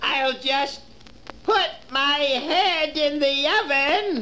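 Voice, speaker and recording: A put-on character voice, high-pitched and very slow, over clear background noise. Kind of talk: children's record dramatization. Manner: sweetly coaxing then menacing.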